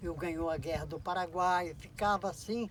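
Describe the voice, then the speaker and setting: Noticeable background noise sits behind the voice. A man speaks fairly slowly at a high pitch. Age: 70s. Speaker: poet. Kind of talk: documentary interview answer.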